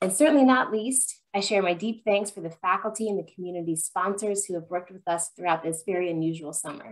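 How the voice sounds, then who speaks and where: The speaker talks at a fairly quick pace with ordinary pitch variation over a quiet background. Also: woman. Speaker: program host. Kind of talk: prepared presentation introduction. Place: home room. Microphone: webcam.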